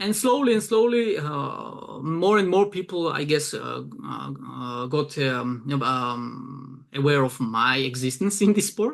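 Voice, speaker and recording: A man's fairly high pitch with very wide pitch swings, at a fairly slow pace. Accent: Georgian. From Georgia. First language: Georgian. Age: 20s. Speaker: arm wrestling event promoter and translator. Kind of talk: casual interview. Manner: hesitant, many fillers.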